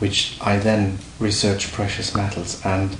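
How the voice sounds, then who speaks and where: A man with a German accent speaks in a fairly low pitch with a flat, monotone delivery, his voice carrying audible room echo over noticeable background noise. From Germany. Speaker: precious metals dealer. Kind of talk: interview. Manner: halting.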